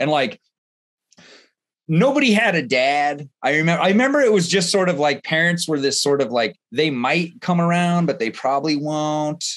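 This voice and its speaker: Speech comes at a moderate pace with very even loudness over a quiet background. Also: man, fairly high pitch for a man. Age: 40s. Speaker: interview host. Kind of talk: casual interview chat. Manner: halting, many fillers.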